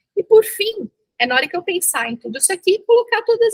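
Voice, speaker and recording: A woman speaks in a raised, projected voice with a bright, sharp tone and very wide pitch swings. The sound is dry and close, with no echo. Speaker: dentistry professor leading a workshop. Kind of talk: online workshop lecture.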